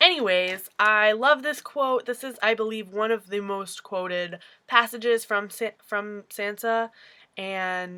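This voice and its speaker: A woman's fairly high, bright, sharp voice with an American accent and ordinary pitch variation at a very slow pace, in a very clean recording with a silent background. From upstate New York. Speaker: booktuber. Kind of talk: casual vlog talk to camera. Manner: animated.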